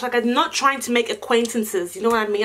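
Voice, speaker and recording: A woman's high, animated voice at a very fast pace with ordinary pitch variation, over noticeable background noise. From Nigerian family, living in Australia. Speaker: YouTuber, lifestyle vlogger. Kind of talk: casual vlog Q&A. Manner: animated, chatty.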